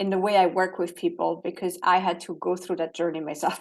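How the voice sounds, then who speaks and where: Over a quiet background, a woman with a French accent speaks at a moderate pace in a monotone, flat intonation. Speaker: holistic coach. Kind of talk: interview.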